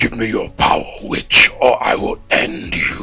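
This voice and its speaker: This man is doing a put-on character voice. He speaks at a fairly slow pace. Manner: menacing.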